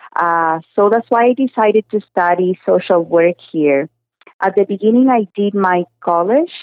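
A woman with a Spanish accent speaks at a moderate pace and medium pitch. Her loudness stays very even and her pitch varies in an ordinary way. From Cuba. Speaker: social work graduate. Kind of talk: radio interview.

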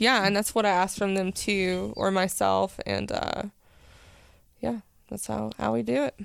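A woman speaks in an East Tennessee accent at a moderate pace. She leaves long, frequent pauses. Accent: East Tennessee Southern. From East Tennessee (Powell, near Knoxville). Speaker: cannabis shop owner. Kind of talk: casual interview chat. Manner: hesitant with many fillers.

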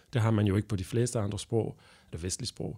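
With a French accent, a man speaks in a fairly low, somewhat breathy voice with a dark, mellow tone and fairly even intonation, in a very clean recording with a silent background. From Belgium. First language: French (speaking Danish). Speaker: translator and interpreter. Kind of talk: interview. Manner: halting.

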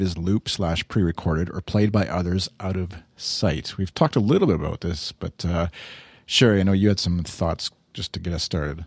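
A man with a Canadian accent and a very deep, low pitch, dry and close with no echo, over a quiet background. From Saskatchewan, Canada. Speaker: podcast host. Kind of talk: casual chat.

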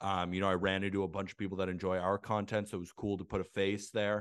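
A man with an American accent, fairly low in pitch and monotone, flat in intonation, at a fairly quick pace against a quiet background. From Santa Barbara, California. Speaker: baseball content creator and writer. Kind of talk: casual interview chat.

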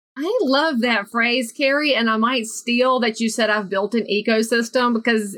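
In a Southern US accent, the voice has a bright, sharp tone and a fairly slow pace. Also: woman. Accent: Southern US, noticeable. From US South, North Carolina. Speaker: realtor and motivational speaker. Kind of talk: casual interview chat.

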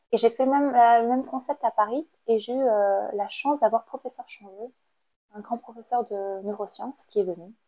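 Her voice dry and close with no echo, a woman speaks at a moderate pace and fairly high pitch in a dark, mellow tone, with ordinary pitch variation and big swings in loudness. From Cambodia. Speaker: artist-activist. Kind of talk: interview. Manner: halting.

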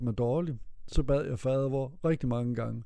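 This man's voice has a dark, mellow tone at a medium pitch. He speaks at a fairly slow pace. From Denmark, Vesthimmerland (North Jutland). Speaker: interviewee telling his life story. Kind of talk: life story interview. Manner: halting, many repetitions and fillers.

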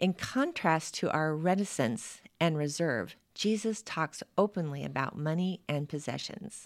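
A woman with a fairly low pitch and an ordinary speaking voice talks at a fairly slow pace with lively intonation. The recording is very clean, with a silent background. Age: 60s. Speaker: pastor. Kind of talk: devotional reading; casual chat.

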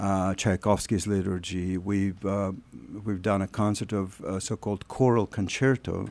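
A man with a Russian accent, fairly low in pitch and fairly slow in pace, on a very clean recording with a silent background. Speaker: choir artistic director. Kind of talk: radio interview. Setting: studio. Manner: halting.

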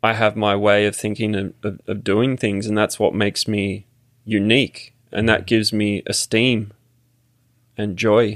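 A man speaks at a fairly slow pace in a fairly low, monotone, flat voice. The recording is very clean, with a silent background. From Australia, Sydney. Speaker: immigrant sharing citizenship experience. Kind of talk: casual interview conversation. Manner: halting, many fillers.

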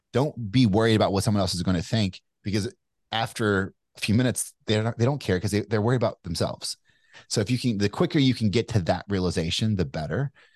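A man with an American accent at a very fast pace, with very even loudness and ordinary pitch variation, in a dry, close sound with no echo against a quiet background. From Kentucky, US South. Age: 40s. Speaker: entrepreneur and author. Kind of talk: interview conversation. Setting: remote call. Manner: casual with frequent fillers.

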